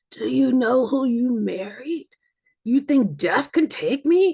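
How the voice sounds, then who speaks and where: A woman uses a put-on character voice that is high and hoarse. She speaks at a fairly slow pace with lively intonation. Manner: defiant, dramatic.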